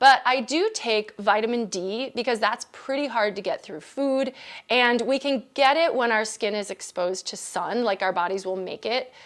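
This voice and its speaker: On a very clean recording with a silent background, a woman with a plain, everyday voice and an American accent speaks at a moderate pace, her fairly high pitch varying in an ordinary way. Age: 50s. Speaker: dietitian. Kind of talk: casual explainer to camera. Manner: conversational, informal.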